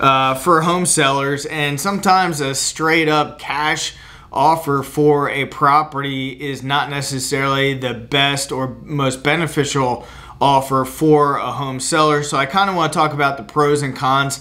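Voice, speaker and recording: Here a man speaks at a fairly slow pace. His intonation stays fairly even. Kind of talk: explainer to camera. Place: office.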